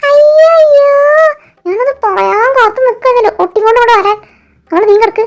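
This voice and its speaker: A woman's put-on character voice, extremely high in pitch, at a moderate pace and very even loudness. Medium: fan dub. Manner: teasing, bickering.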